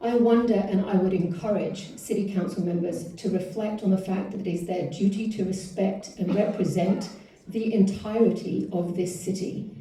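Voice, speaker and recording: With hardly any pauses, a woman with a non-native accent speaks at medium pitch in a flat monotone, with audible room echo and noticeable background noise. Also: moderate pace. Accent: foreign. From outside the US. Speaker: public commenter. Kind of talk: public comment at council meeting. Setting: city council meeting. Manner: reading from a script.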